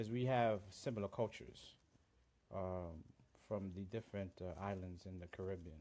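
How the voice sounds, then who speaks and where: A man in a Central American accent, very deep and low in pitch, with a dark, mellow tone, ordinary pitch variation and a moderate pace. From Honduras. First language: Garifuna. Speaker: livestream host. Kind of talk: live stream chat. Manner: halting, many fillers.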